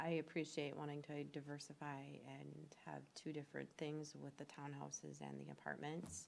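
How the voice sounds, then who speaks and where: Soft-spoken, a woman talks at a moderate pace. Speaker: planning commissioner. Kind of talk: public meeting discussion. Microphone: too quiet, poor mic use.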